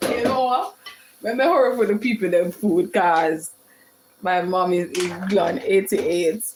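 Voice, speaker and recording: A woman with a Jamaican accent speaks at a fairly slow pace in an animated tone over noticeable background noise. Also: medium pitch for a woman, ordinary pitch variation. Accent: Jamaican, with patois. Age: 40s. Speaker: home cook livestreamer. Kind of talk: live cooking stream chatting with viewers.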